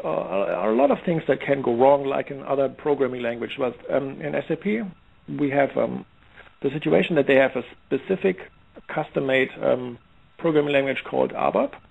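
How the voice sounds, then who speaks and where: A man with a slight German accent talks at a fairly quick pace with long, frequent pauses. His pitch is fairly high and varies in an ordinary way. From Germany, Heidelberg. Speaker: software security expert. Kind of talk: interview. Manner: halting, many fillers and restarts.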